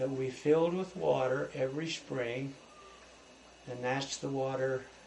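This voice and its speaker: A man with an American accent speaks at a fairly slow pace with ordinary pitch variation and long, frequent pauses. Background noise is noticeable. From US West, rural eastern Idaho. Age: 70s. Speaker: elderly man recounting his life story. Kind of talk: oral history interview. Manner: halting, with frequent fillers.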